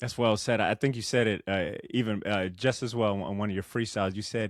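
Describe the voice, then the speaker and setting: An unremarkable speaking voice from a man, fairly low in pitch, on a very clean recording with a silent background. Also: fairly even intonation, fairly quick pace. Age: 30s. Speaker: podcast host. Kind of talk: casual interview chat. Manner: casual, expressive.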